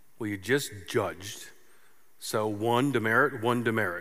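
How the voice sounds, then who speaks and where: The tone is bright and sharp, with audible room echo around it. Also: man. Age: 50s. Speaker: pastor. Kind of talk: sermon. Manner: animated.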